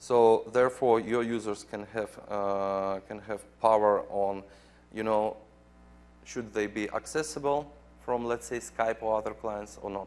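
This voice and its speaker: A man with a non-native accent speaks fairly slowly at a fairly low pitch, keeping his intonation fairly even. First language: not English. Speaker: software program manager presenting at a conference. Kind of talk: conference presentation with live demo. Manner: halting, many fillers.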